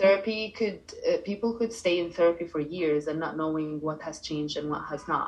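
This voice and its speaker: Noticeable background noise sits behind a woman speaking with an Arabic accent. Her pitch is fairly low and her pace fairly quick. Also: ordinary pitch variation. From Egypt, Cairo. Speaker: life coach. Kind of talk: interview.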